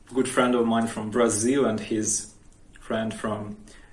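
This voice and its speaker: Speaking fairly slowly, a man holds a medium pitch with fairly even intonation. Audible room echo surrounds his voice. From Ukraine, Odesa region. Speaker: vlogger. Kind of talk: personal account. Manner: halting.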